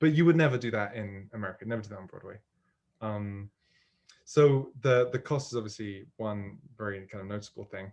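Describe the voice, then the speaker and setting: A man with a British accent speaks at a fairly quick pace in a fairly low pitch. His pitch variation is ordinary, and his loudness swings widely. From United Kingdom. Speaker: musical theatre writer. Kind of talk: interview. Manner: hesitant, many fillers.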